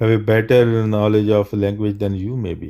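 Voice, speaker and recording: Speaking with a non-native accent, the voice moves at a fairly slow pace. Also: man. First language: not English. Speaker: livestream debate host. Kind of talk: live Q&A debate stream. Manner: halting, repeats words.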